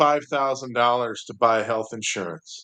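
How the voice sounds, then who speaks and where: Someone with an American accent speaks over a quiet background. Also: man. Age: 60s. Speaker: podcast host. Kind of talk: casual political chat. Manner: animated.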